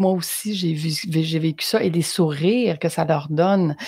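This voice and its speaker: A woman with a very deep, low pitch, in a Quebec accent, at a moderate pace with ordinary pitch variation. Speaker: interviewer, podcaster. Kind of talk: casual interview chat.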